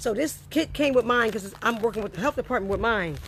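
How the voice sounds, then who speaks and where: A woman's animated, fairly high voice at a very fast pace. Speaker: health educator. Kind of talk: tutorial.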